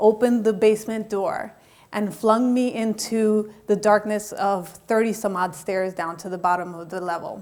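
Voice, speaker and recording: A woman with an American accent speaks in a plain, everyday voice at a moderate pace. Her pitch is fairly high, her intonation fairly even, and her loudness swings widely. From Colombia, raised in the US from age five (Miami). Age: 40s. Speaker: motivational speaker and life coach. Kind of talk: TEDx talk, personal testimony.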